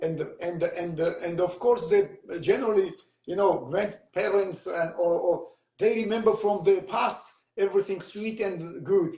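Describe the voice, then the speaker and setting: At a fairly slow pace, a man talks with a high pitch. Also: ordinary pitch variation. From Georgia. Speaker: author. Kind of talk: interview. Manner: halting.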